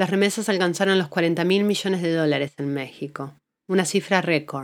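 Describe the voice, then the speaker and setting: A woman at a moderate pace with ordinary pitch variation, in a very clean recording with a silent background. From Argentina. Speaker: podcast host and journalist. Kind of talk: scripted narration.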